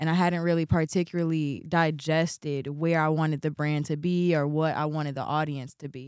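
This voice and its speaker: In a very clean recording with a silent background, a woman with an American accent speaks at a fairly quick pace with hardly any pauses, a very deep, low pitch and monotone, flat intonation. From Chicago, US Midwest. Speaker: fashion designer and artist. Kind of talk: interview.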